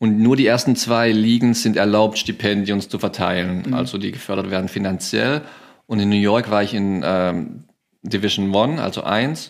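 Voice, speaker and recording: At a moderate pace, a man with fairly low pitch and a plain, everyday voice speaks with ordinary pitch variation. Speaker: former college football player. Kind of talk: interview.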